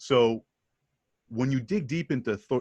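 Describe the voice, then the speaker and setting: Against a quiet background, a man speaks at a medium pitch with ordinary pitch variation. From Canada, Montreal. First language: mix of French and English. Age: 40s. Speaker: sales pitch coach. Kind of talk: interview.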